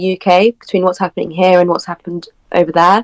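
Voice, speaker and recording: A woman with a British accent, recorded dry and close with no echo. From UK. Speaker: political commentary guest. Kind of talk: podcast interview.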